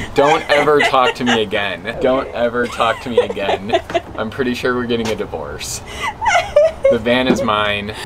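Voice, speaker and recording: A man's moderate-paced speech, with ordinary pitch variation, sits under loud background noise. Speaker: vlogger. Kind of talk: casual vlog chat. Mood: joking, playful. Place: street.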